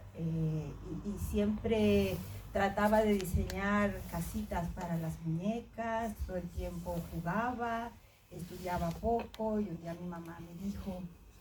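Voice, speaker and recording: With audible room echo, a somewhat breathy woman speaks at a very slow pace, her fairly low pitch showing ordinary variation. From Mexico. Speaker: astrophysicist. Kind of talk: personal talk to students.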